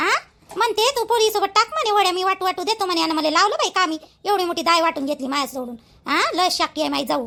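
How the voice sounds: A woman performs a cartoonish character voice at an extremely high pitch, bright and sharp in tone with vocal fry. She talks at a fast pace with few pauses and ordinary pitch variation.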